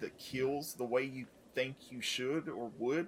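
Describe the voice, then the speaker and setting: Speaking at a moderate pace, a man with an unremarkable speaking voice uses fairly even intonation at a fairly high pitch. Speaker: podcast co-host. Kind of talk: casual banter.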